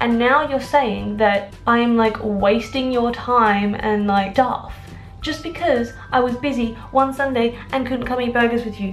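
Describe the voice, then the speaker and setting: Music plays in the background as a woman with an Australian accent speaks slowly-ish at a fairly high pitch, her intonation fairly even. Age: 20s. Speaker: personal trainer and lifestyle vlogger. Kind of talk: casual talk to camera.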